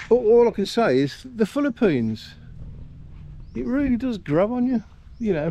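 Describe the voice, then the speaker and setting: Speaking in a British accent, a man with an extremely high pitch uses ordinary pitch variation and a dark, mellow, relaxed tone. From UK. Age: 60s. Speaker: vlogger. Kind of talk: casual vlog monologue. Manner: relaxed, rambling with fillers.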